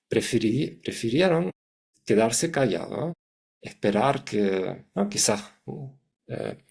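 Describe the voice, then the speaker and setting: A man with a German accent talks at a very slow pace, leaving long, frequent pauses. His intonation is lively. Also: medium pitch for a man. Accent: foreign (German) accent in Spanish. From Germany, Hamburg. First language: German (speaking Spanish). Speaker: psychologist, communication consultant. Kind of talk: interview. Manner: halting, many restarts.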